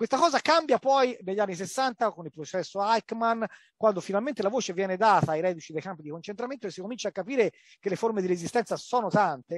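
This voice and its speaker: A man talks at a very fast pace with lively intonation. The sound is dry with no echo, over a quiet background. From Italy. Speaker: historian and book author. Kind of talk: academic book discussion. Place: office. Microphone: headset.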